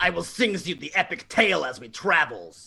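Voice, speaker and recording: A man's put-on character voice at a moderate pace, with big swings in loudness. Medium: audio drama. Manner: broken grammar, blunt.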